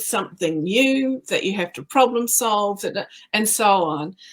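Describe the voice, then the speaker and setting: Lively intonation marks this woman's speech. She has a New Zealand accent. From New Zealand, rural. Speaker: creative business owner and speaker. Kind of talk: casual interview chat.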